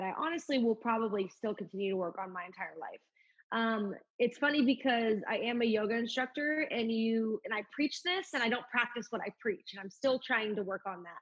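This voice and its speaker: A woman speaks at a moderate pace with fairly high pitch. Her voice is somewhat breathy. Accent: American. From Oklahoma. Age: 20s. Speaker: country singer. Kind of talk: casual interview.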